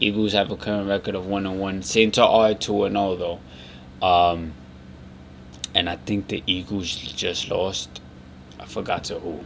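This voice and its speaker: Quiet and fairly slow, a man with a fairly low pitch speaks in monotone, flat intonation. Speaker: sports podcast host. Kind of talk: casual solo commentary. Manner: low, quiet.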